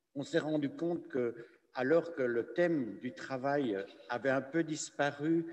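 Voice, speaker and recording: With a Belgian accent, a man speaks at a very slow pace. His pitch is fairly high, with ordinary variation. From Belgium. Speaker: priest and lecturer. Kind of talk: conference talk. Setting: cathedral with audience and Zoom stream. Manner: hesitant, many fillers.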